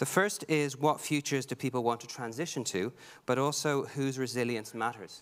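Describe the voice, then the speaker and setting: A man with a Dublin accent speaks at a moderate pace and a medium pitch, with ordinary pitch variation, on a very clean recording with a silent background. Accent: Dublin Irish. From Ireland, Dublin. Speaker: heritage expert, archaeologist. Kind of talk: conference panel talk. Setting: conference stage with audience.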